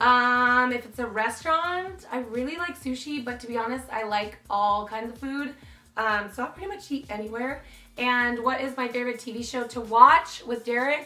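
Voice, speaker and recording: Big swings in loudness and audible room echo accompany a bright, sharp tone at a moderate pace with ordinary pitch variation. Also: woman, high pitch for a woman. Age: 20s. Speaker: beauty YouTuber. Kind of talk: casual Q&A vlog. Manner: animated.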